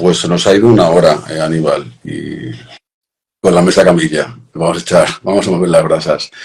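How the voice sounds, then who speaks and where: A man with a Castilian accent talks at a moderate pace. His very deep, low voice keeps a fairly even intonation. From Madrid. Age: 40s. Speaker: cultural association host. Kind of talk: casual chat.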